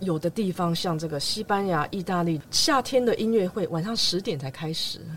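A woman speaks at a moderate pace with hardly any pauses, her pitch medium and its variation ordinary. Noticeable background noise sits behind her. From Taiwan, raised in Los Angeles from age nine. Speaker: concert pianist. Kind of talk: interview conversation. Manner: forceful, persuasive.

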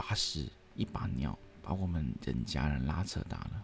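A man speaks with a slight Hong Kong accent at a fairly slow pace. His pitch swings very widely, and there is noticeable background noise. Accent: slight Hong Kong accent in Mandarin. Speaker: podcast host. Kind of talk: storytelling narration.

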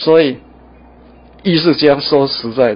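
A man talks at a very slow pace. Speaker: painter. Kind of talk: interview; gallery tour interview. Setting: art museum gallery. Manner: halting with many fillers.

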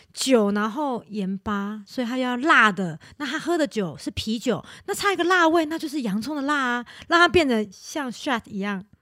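Speaking at a fairly quick pace, a woman with a high pitch makes very wide pitch swings. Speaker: podcast co-host. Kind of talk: casual chat.

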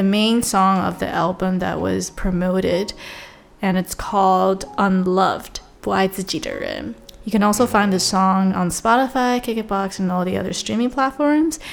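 A woman with a plain, everyday voice speaks at a medium pitch and moderate pace with ordinary pitch variation. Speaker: podcast host. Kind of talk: casual chat, sibling Q&A. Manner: playful, teasing.

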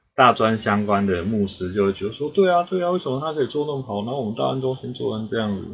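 A man with a medium-pitched voice speaks at a very fast pace, with hardly any pauses. His pitch swings very widely. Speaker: podcast host. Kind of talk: casual chat.

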